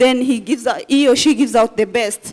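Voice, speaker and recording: High-pitched female speech, its intonation fairly even. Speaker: healthcare worker. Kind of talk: conference presentation.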